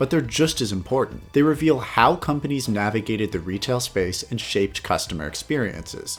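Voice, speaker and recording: A man at a moderate pace with very wide pitch swings, music in the background. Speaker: video game history narrator. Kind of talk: documentary narration.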